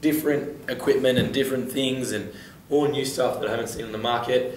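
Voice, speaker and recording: Audible room echo colors a man's speech. Noticeable background noise is also present. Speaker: fitness podcast host. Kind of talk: interview.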